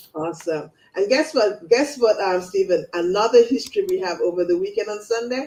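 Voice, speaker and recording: The speaker has a Caribbean accent. The pace is fairly quick. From Saint Kitts and Nevis. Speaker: talk show host. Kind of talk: interview.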